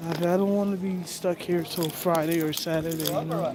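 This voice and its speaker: A woman with an American accent and a fairly low pitch speaks at a moderate pace with fairly even intonation, amid audible room echo and noticeable background noise. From US. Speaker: livestreamer. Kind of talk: casual chat.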